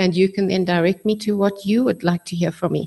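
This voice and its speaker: Against a quiet background, a woman speaks at a very fast pace. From South Africa. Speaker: politician; speaker. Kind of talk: debate. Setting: stage with audience. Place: hall. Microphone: podium.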